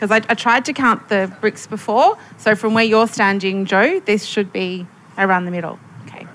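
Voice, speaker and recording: A woman has a plain, everyday voice at medium pitch with ordinary pitch variation. She speaks at a moderate pace, her loudness swinging widely. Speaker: futurist and panelist, workshop facilitator. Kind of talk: panel discussion and facilitation. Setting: stage with audience.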